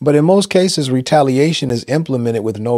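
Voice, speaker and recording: Against a quiet background, the speaker goes at a very fast pace with ordinary pitch variation. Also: man, dry sound with no echo. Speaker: pastor. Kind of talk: motivational sermon-style talk to camera. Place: home room.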